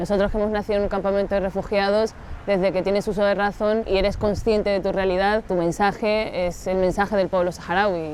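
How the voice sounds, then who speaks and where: A woman speaks at a fairly quick pace with hardly any pauses. Her medium-pitched voice holds a flat, monotone intonation. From Sahrawi refugee camps, Algeria; then Canary Islands. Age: 30s. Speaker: intercultural mediator and activist. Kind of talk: interview.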